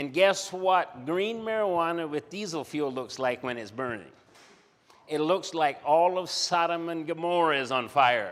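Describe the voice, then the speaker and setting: Heard on a very clean recording with a silent background, a man speaks high-pitched at a fairly slow pace with lively intonation. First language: German. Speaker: missionary and development worker. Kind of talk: conference presentation.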